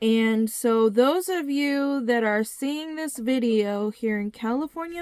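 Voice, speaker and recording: Her voice high, a woman speaks very slowly with ordinary pitch variation. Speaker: video blogger. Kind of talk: video monologue. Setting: living in a motorhome. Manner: deliberate.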